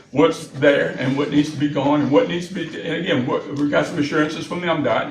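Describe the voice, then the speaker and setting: A man with a Southern US accent and a fairly high pitch is heard with audible room echo and noticeable background noise. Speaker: city official presenting to county board. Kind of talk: public meeting presentation. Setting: board meeting room. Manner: fast; halting, many repeated words.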